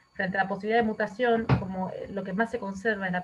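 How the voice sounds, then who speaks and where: A woman talks at a medium pitch, her intonation staying fairly even. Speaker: infectious disease physician. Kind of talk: lecture. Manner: fast.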